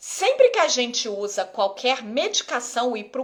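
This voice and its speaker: The speech moves at a fairly slow pace. Noticeable background noise runs underneath it. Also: woman. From Rio de Janeiro, Brazil. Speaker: ophthalmologist. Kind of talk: live Q&A stream. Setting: live stream on Instagram. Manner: casual, conversational.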